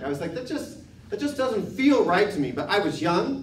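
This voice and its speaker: A man at a very fast pace with lively intonation and an American accent, amid noticeable background noise and audible room echo. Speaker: political candidate. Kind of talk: candidate forum answer.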